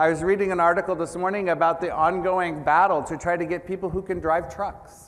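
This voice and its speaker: A moderate pace with an American accent. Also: man. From United States. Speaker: business executive, keynote speaker. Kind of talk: conference keynote. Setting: stage with audience.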